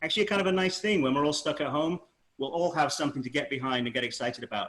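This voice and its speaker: This man talks at a very fast pace, his fairly high pitch showing ordinary pitch variation. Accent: Manchester. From northern England, Manchester. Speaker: spaceflight historian author. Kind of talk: panel discussion.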